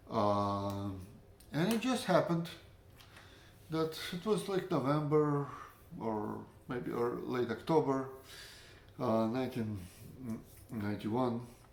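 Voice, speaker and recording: A medium-pitched man with a Russian accent, very slow with long, frequent pauses and lively intonation, in audible room echo. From Latvia, Russian-speaking family. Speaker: storyteller, former librarian. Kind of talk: personal storytelling. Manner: halting, many fillers.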